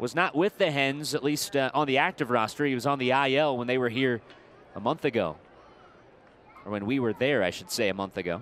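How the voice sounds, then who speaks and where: With an unremarkable speaking voice, a man talks at a fairly quick pace, his medium pitch carried by lively intonation. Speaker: baseball broadcaster. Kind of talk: live sports commentary, play-by-play. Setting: stadium broadcast booth.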